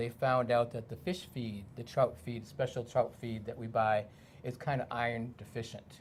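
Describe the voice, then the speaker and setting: A man with a medium-pitched, somewhat breathy voice talks at a moderate pace. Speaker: aquaponics garden maintenance provider.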